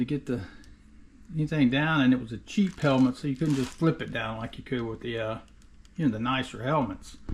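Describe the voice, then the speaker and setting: A somewhat breathy male voice on a very clean recording with a silent background. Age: 60s. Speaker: DIY car restorer, video creator. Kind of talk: casual vlog. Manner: casual, filler-heavy.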